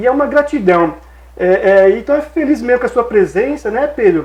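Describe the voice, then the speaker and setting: Lively intonation in a Brazilian accent. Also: man. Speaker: TV interview host. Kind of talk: TV interview.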